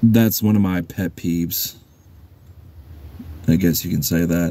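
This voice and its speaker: Soft-spoken and very deep and low in pitch, a man talks with fairly even intonation. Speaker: YouTuber commenting on online drama. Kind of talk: casual vlog monologue. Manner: halting, repeats words.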